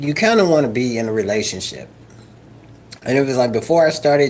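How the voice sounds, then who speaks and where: With ordinary pitch variation, a man's voice rings with audible room echo. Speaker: vlogger. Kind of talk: casual vlog monologue. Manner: animated.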